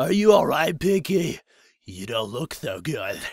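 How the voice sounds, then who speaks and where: A man's raspy, put-on character voice, fairly high in pitch, with very wide pitch swings and a fairly slow pace. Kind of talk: comic overacting. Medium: read story. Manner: lisping, nerdy.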